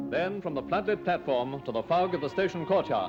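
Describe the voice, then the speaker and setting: Music plays in the background as a man rattles along at a very fast pace. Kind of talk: newsreel narration.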